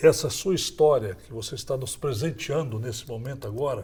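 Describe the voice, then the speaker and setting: A man's somewhat breathy voice sits at medium pitch, with ordinary pitch variation and a moderate pace. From Brazil, Goiás (Goiânia). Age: 60s. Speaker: former state governor. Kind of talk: interview.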